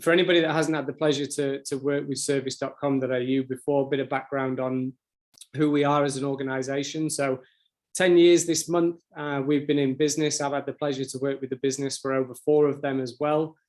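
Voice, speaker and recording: A man speaks with a British accent. His intonation stays monotone and flat. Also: fairly high pitch for a man, fairly quick pace. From UK. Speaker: sales account manager. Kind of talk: webinar presentation. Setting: online webinar. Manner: fast.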